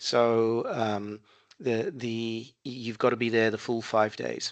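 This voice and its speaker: In an Australian accent, a man speaks very slowly at medium pitch with monotone, flat intonation. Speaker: software consultant and trainer. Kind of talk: interview. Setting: phone call. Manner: halting.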